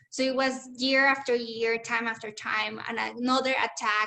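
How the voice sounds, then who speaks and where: In a Spanish accent, a woman speaks at a high pitch with a bright, sharp tone. Her intonation stays fairly even. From Mexico, Chihuahua. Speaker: community organizer and activist. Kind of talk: webinar talk.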